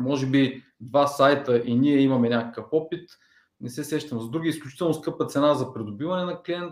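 A man with an unremarkable speaking voice talks at a moderate pace and a fairly high pitch, with ordinary pitch variation. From Bulgaria, Ruse. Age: 30s. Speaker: online media entrepreneur. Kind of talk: interview.

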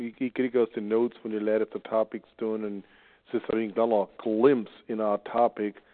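The speech has a Pennsylvania Dutch accent and a moderate pace. Its intonation is monotone and flat. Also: man. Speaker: conference call moderator. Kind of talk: casual chat. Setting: phone call.

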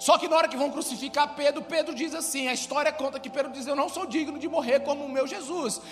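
With an animated tone, a man talks at a very fast pace over noticeable background noise. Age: 40s. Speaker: pastor. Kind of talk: sermon.

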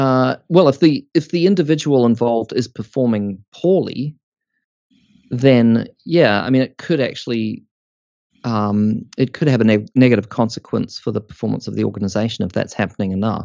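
A man with a New Zealand accent, lively intonation and a moderate pace. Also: medium pitch for a man. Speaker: organisational psychology academic. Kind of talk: interview. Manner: hesitant, with many fillers.

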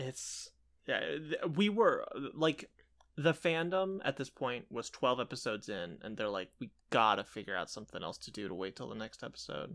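Speaking at a moderate pace, a man shows vocal fry at a medium pitch. His pitch swings very widely and his loudness swings a lot. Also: very clean recording, silent background. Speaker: podcast co-host. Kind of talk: casual chat.

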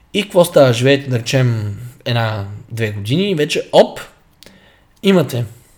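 A man speaks at a moderate pace and medium pitch, pausing long and often. His voice is somewhat breathy, with very wide pitch swings. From Bulgaria, Stara Zagora. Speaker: fitness coach podcast co-host. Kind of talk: casual chat.

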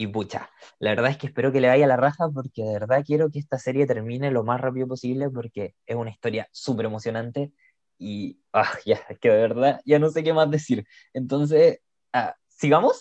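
A man speaks in a Chilean accent with ordinary pitch variation. The sound is dry and close, with no echo. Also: medium pitch for a man, moderate pace. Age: 20s. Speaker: podcast co-host. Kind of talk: casual chat.

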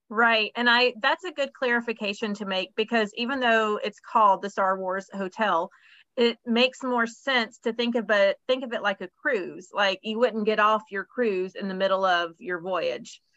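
With a plain, everyday voice, a woman talks at a fairly high pitch and moderate pace, with ordinary pitch variation and hardly any pauses. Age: 40s. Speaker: podcast host, travel agent. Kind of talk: casual chat. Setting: video call.

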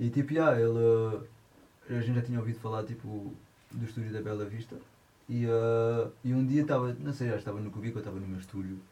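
Somewhat breathy and dark, mellow in tone, a man talks at a medium pitch and a fairly quick pace with fairly even intonation. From France. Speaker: musician, guitarist and singer. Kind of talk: casual chat. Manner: halting.

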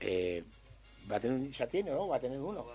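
A man's voice at a fairly quick pace, with very wide pitch swings and music in the background. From Uruguay, Montevideo (Cerro). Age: 50s. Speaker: tropical music singer. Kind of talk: radio interview.

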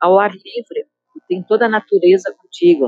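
A woman talks at a fairly slow pace with ordinary pitch variation, her sound dry and close with no echo. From Galópolis, Caxias do Sul, southern Brazil. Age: 60s. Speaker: community association member, local resident. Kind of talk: interview testimony.

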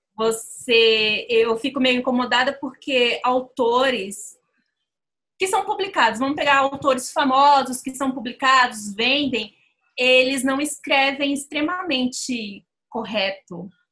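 A woman talks at a very slow pace in a raised, projected voice that is high and bright with a sharp edge. Her pitch moves in an ordinary way. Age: 30s. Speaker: fanfiction writer and site moderator. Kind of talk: casual chat.

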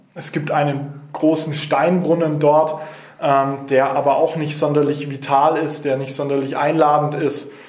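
A man speaks at a fairly slow pace in a fairly high pitch with monotone, flat intonation. Room echo is audible, and background noise is noticeable. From Nuremberg, Franconia, Germany. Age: 20s. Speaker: local politician. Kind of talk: interview. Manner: hesitant, many fillers.

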